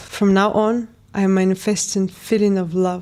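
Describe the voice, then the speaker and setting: With a non-native accent, a woman talks in a monotone, flat intonation at medium pitch, her tone dark and mellow. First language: not English. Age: 20s. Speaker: lifestyle vlogger. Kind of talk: personal testimony read from a script. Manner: reading aloud.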